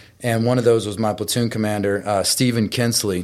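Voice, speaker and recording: A man with an American accent speaks at a medium pitch in an unremarkable speaking voice. His intonation stays fairly even. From Texas. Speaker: retired Marine and motivational speaker. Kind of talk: interview.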